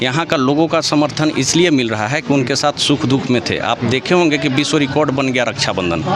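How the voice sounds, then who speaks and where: A man talks with hardly any pauses. There is noticeable background noise. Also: fairly high pitch for a man, ordinary pitch variation, moderate pace, very even loudness. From Jharkhand, Palamu area (Utari). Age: young. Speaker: election candidate, politician. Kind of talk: interview.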